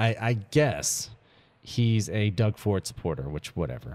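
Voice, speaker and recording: A man talks at a fairly slow pace. The recording is very clean with a silent background. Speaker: radio host. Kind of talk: casual chat.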